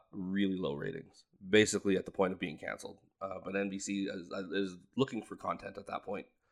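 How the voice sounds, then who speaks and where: A man talks in a fairly low pitch at a moderate pace. He has an unremarkable speaking voice. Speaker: movie podcast co-host. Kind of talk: casual chat.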